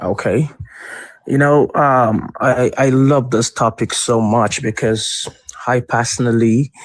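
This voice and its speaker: Speaking very slowly with a West African accent, a man holds a medium pitch, fairly even intonation and very even loudness in a dry, close sound with no echo. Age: 30s. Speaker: caller. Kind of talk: call-in debate.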